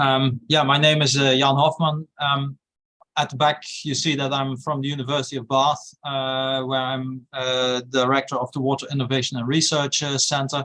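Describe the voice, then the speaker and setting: A man with a Dutch accent speaks at a moderate pace and medium pitch, his tone bright and sharp and his intonation monotone and flat. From Netherlands. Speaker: university research director. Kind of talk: webinar discussion. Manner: hesitant, frequent fillers.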